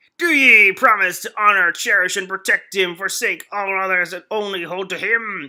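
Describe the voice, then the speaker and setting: Putting on a character voice at medium pitch, a woman speaks at a moderate pace. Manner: epic, solemn.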